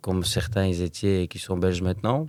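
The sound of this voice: A man's low-pitched voice, dark and mellow in tone, at a fairly quick pace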